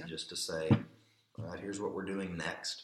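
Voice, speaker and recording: There is audible room echo as a man talks in a very deep, low voice with ordinary pitch variation. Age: 30s. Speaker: church elder and pastor. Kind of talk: casual interview conversation.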